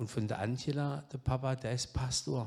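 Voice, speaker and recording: A man with a slight Saxon accent talks at a fairly slow pace. His dark, mellow tone sits at a medium pitch with fairly even intonation. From southwest Germany, Baden-Württemberg (Pforzheim area). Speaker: guest preacher, addiction ministry leader. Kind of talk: sermon. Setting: church service.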